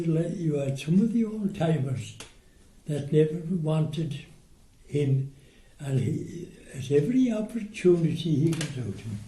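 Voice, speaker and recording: Speaking at a fairly slow pace with long, frequent pauses, a man with an Irish accent uses a fairly high pitch, lively intonation and a dark, mellow tone. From Ireland. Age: 80s+. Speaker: war veteran. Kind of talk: interview answer.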